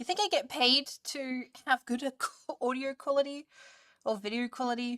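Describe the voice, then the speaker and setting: In an Australian accent, a woman projects a raised voice at high pitch with a bright, sharp tone, ordinary pitch variation and a moderate pace. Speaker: streamer. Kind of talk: casual chat. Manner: loud.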